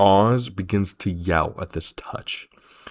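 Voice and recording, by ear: The voice is reading aloud in a natural voice, with ordinary pitch variation.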